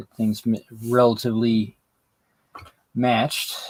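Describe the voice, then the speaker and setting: A man at medium pitch. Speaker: hobby youtuber building dioramas. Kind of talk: live stream hobby chat while crafting. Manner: slurring words from fatigue; halting, many fillers.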